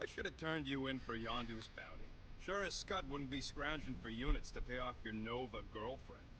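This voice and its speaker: Over loud background noise, a man does a gruff, put-on character voice at a medium pitch and a fairly quick pace. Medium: video game. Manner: gruff, sarcastic, slangy.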